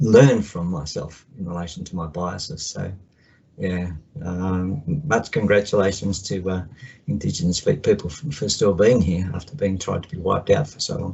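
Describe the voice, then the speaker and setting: Man with an Australian accent, very deep low pitch, somewhat breathy, ordinary pitch variation, big swings in loudness, moderate pace. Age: 60s. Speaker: counsellor. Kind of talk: video call check-in.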